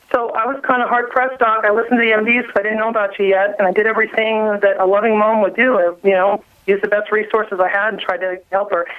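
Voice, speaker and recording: Speaking very fast with hardly any pauses, a woman keeps a fairly high pitch. Her intonation stays flat and monotone over noticeable background noise. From New Orleans, US South. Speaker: mother telling health story. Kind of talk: radio interview testimony.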